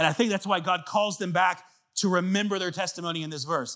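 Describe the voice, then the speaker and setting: A man's raised, projected voice, bright and sharp, animated in tone, on a very clean recording with a silent background. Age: 30s. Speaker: pastor. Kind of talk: sermon.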